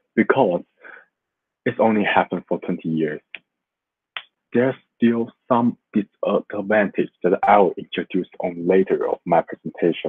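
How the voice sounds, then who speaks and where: A man speaks with a Chinese accent. His delivery has long, frequent pauses. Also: moderate pace. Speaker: student. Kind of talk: class presentation. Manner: halting.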